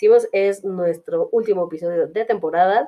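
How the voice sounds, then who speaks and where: A woman with a Mexican accent and ordinary pitch variation. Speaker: podcast host. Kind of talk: casual chat. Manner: halting.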